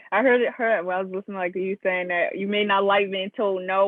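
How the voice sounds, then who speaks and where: This woman has a Baltimore accent. Her pitch sits in the medium range. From Baltimore, Maryland. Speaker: student journalist interviewer. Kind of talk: interview. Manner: halting, many fillers.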